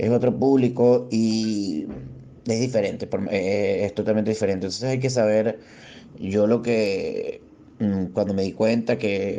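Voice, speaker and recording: Fairly even intonation and a fairly slow pace from a man with a dark, mellow tone. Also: fairly low pitch for a man. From Venezuela. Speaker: stand-up comedian. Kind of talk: interview. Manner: halting, many repetitions.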